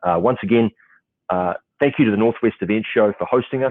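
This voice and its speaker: Talking at a very fast pace, a man with a New Zealand accent uses ordinary pitch variation. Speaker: event panel moderator. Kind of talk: panel moderation, casual. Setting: video call on location at client office. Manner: halting, many fillers.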